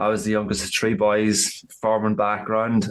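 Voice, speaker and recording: A medium-pitched man with an Irish accent at a fairly quick pace. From rural Ireland. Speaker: men's coach. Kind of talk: casual interview chat.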